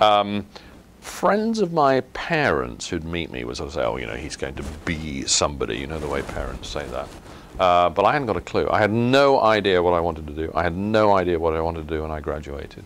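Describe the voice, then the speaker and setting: Very deep and low, a man's voice carries an English accent and swings very widely in pitch. He talks at a fairly quick pace over noticeable background noise. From southern England, West Sussex. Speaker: company executive. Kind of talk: interview.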